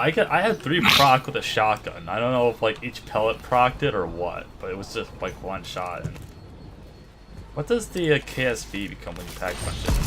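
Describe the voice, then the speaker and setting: A man's moderately paced speech, with large shifts in loudness over noticeable background noise. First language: not English. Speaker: gaming co-player. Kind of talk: casual chat.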